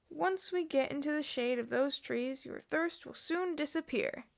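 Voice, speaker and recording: This is a put-on character voice at a moderate pace. Its loudness swings in big jumps. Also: woman, high pitch for a woman. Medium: read story. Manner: obstinate, protective.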